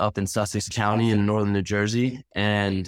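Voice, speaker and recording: In a very clean recording with a silent background and a dry, close sound with no echo, a man with a plain, everyday voice speaks at a moderate pace and a fairly low pitch. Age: 20s. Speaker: real estate agent. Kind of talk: interview.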